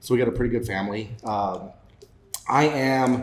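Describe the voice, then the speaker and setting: Over noticeable background noise, a man speaks with a Mountain West accent and fairly even intonation. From Wyoming, Laramie County. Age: 40s. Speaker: political candidate. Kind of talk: podcast interview.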